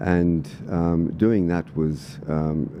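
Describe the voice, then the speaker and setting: Noticeable background noise sits behind a man whose pitch is very deep and low. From Australia (Sydney and country Victoria). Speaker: political candidate and former soldier. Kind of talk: podcast interview.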